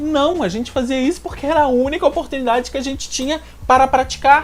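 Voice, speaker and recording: A man with a strong Minas Gerais accent talks at a fairly quick pace against noticeable background noise. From Minas Gerais, Brazil. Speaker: language-learning youtuber. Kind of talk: tutorial.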